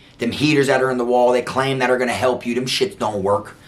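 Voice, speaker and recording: Noticeable background noise sits behind a man's animated, medium-pitched voice with an American accent. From South Florida. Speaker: former prison inmate telling stories. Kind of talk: casual storytelling monologue.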